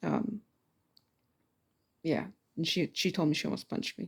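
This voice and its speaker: Soft-spoken and dark, mellow in tone, a woman is heard in a very clean recording with a silent background. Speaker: student. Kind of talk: casual spoken assignment response. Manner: casual, halting with fillers.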